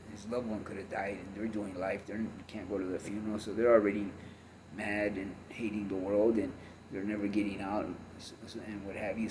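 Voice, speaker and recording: Audible room echo surrounds a man talking fairly quickly. His fairly low voice stays monotone and flat. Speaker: former gang member and ex-convict. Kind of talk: testimony. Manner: halting, many fillers.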